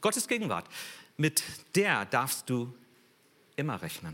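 A bright, sharp tone with vocal fry and very wide pitch swings, at a fairly slow pace. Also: man. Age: 60s. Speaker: guest preacher. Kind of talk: sermon.

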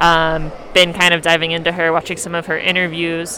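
Against noticeable background noise, a woman speaks at a moderate pace in a fairly low pitch with monotone, flat intonation. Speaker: podcast host. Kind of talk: casual chat. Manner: loud, screaming into the mic.

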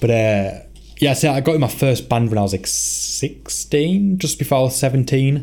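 A man speaks with very even loudness. Noticeable background noise is audible. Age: 20s. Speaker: podcast host and band member. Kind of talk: casual chat.

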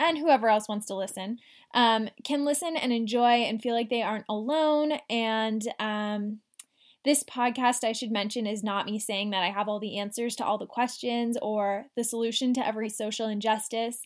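On a very clean recording with a silent background, a woman with an unremarkable speaking voice talks at a moderate pace and fairly high pitch with ordinary pitch variation. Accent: Canadian. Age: 20s. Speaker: podcast host. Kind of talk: solo podcast monologue. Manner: casual, giggly with filler ums.

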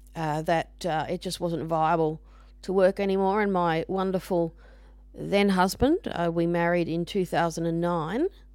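A woman speaks at a fairly low pitch with fairly even intonation. Her fairly slow delivery sits on a very clean recording with a silent background. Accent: Australian. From Australia, Brisbane. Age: 40s. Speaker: podcaster and music student. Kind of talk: casual monologue. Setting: home recording into microphone. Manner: halting, many fillers.

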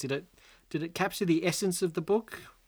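A man with an Australian accent, high-pitched, animated and very fast, on a very clean recording with a silent background. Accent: Australian, fairly broad. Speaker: podcast host, book discussion. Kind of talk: casual chat. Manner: animated, jokey.

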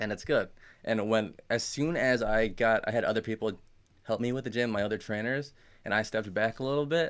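A man speaks in a plain, everyday voice at a fairly quick pace, with ordinary pitch variation. The recording is very clean and the background silent. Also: medium pitch for a man. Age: 20s. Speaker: gym owner and personal trainer. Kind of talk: casual chat. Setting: studio.

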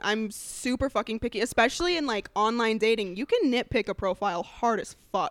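A woman's fairly high-pitched, lively voice at a fairly quick pace, an ordinary speaking voice with a dry, close sound and no echo. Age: 20s. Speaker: comedian. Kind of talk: casual chat.

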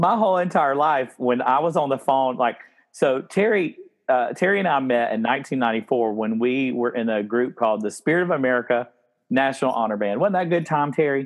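A man with a South Carolina accent talks at a medium pitch with lively intonation. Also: moderate pace. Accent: South Carolina Southern. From Spartanburg, South Carolina. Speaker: podcast host. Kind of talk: casual chat.

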